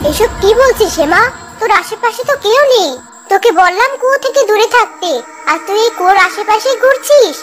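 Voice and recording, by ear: Amid clear background noise, a woman performs a cartoonish character voice at an extremely high pitch and a moderate pace.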